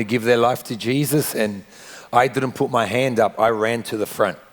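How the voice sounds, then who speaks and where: A man in an Australian accent speaks at a moderate pace with fairly even intonation. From Australia (Sydney), Argentine family. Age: 40s. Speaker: pastor. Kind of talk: interview testimony.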